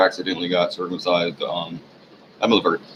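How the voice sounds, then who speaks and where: Noticeable background noise accompanies a man with an American accent who speaks very fast. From US South. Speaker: vlogger. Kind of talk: casual monologue.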